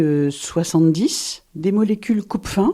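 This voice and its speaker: A woman with a medium pitch and a dark, mellow tone talks very slowly, her intonation lively. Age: 60s. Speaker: pulmonologist. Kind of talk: interview testimony.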